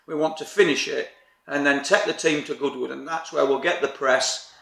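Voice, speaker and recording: Noticeable background noise behind a man with a fairly high voice and a very fast pace. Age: 50s. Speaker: rally driver. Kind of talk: interview.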